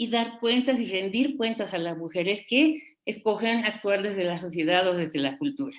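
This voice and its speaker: The intonation of this woman is lively. She speaks at a fairly slow pace with a fairly high pitch. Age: 60s. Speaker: feminist expert panelist. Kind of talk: panel debate talk. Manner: hesitant, many fillers.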